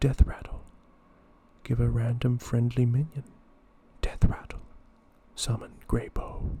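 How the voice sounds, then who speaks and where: Someone is whispering. The whisper comes in an Australian accent. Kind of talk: ASMR card game review. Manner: soft-spoken.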